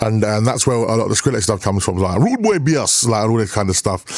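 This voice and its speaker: In an animated tone, a man speaks very fast at a fairly low pitch. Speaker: DJ and MC. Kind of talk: casual chat.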